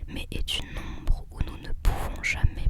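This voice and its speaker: A woman's whisper at a very slow pace, with noticeable background noise. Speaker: ASMR creator, student. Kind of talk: ASMR whispered reading of quotes and poems. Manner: whispered, soft.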